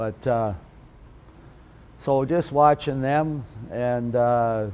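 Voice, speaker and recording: With a western Canadian accent, a man speaks in a dark, mellow tone with ordinary pitch variation. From western Canada (Alberta, then Vancouver area). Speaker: retired lacrosse player. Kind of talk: interview reminiscence. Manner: hesitant, many fillers.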